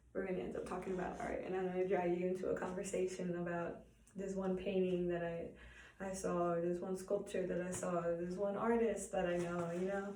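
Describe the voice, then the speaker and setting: A woman of medium pitch speaks at a fairly quick pace in a monotone, flat intonation, with audible room echo and noticeable background noise. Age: 20s. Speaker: college student. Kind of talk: self-introduction speech. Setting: art studio. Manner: halting, many repetitions and fillers.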